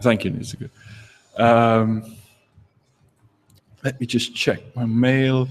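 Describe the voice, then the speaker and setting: With a non-native accent, a man speaks at a very slow pace and medium pitch. His intonation is monotone and flat, with long, frequent pauses. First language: not English. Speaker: game jam organizer. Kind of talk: livestream talk. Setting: live broadcast from home. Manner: hesitant, many fillers. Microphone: echo.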